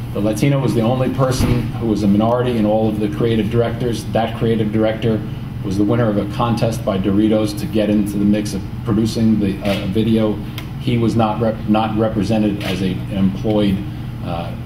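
A man's fairly low, monotone voice at a fairly quick pace, with flat intonation and music in the background. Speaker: report author presenting findings. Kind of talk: press conference statement.

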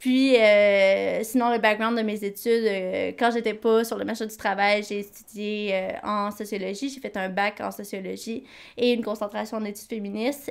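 At a moderate pace with hardly any pauses, the speech stays monotone and flat while the loudness swings widely, all in a very clean recording with a silent background. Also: woman, fairly high pitch for a woman. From Quebec. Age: 20s. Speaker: podcast co-host, nonprofit coordinator. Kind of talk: casual chat.

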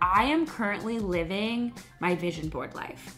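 Faint music plays in the background. A woman speaks at a fairly slow pace. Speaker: lifestyle vlogger. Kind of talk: casual vlog chat. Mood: warm, reflective. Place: home room. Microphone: phone near.

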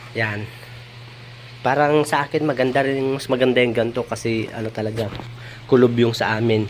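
A man talks at a moderate pace and medium pitch. Noticeable background noise runs underneath. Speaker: vlogger. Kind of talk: casual vlog walkthrough. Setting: walking around a house under renovation.

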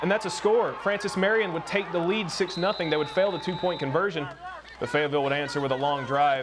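A man at a fairly quick pace, ordinary pitch variation, and noticeable background noise. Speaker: sports highlights show host. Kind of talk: live-style sports commentary over game highlights. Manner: animated, fast play-by-play delivery with excited emphasis; occasional hesitations and filler uh.

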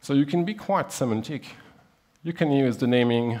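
Talking at a moderate pace, a man is heard. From Switzerland. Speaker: software developer, conference speaker; conference speaker. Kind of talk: technical conference talk. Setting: stage with audience. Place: hall.

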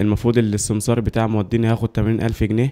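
A man with an Egyptian accent speaks at a fairly low pitch in a dark, mellow tone. His intonation is monotone and flat. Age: 20s. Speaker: footballer. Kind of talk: interview testimony. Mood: frustrated, complaining about contracts. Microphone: handheld.

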